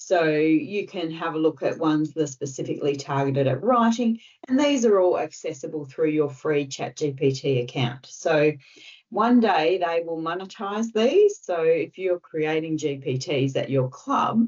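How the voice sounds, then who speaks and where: A woman's very deep, low-pitched voice in an Australian accent, with lively intonation at a moderate pace. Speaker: tech trainer presenting to club members. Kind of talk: online tutorial presentation.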